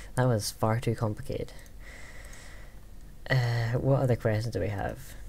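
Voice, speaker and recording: A man with a Scottish accent at a moderate pace, with long, frequent pauses. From Scotland. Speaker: gaming YouTuber. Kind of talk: Q&A vlog. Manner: hesitant, many fillers.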